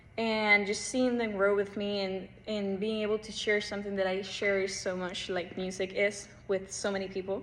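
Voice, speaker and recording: Music plays behind a woman speaking at a moderate pace. Her intonation is monotone and flat. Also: medium pitch for a woman. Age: young. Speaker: pianist and piano teacher. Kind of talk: casual self-introduction monologue. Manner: casual with frequent fillers.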